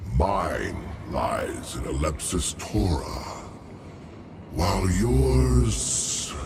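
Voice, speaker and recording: A put-on character voice moves at a very slow pace with long, frequent pauses over clear background noise. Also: man, very deep, low pitch for a man. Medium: machinima. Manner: grave, archaic phrasing.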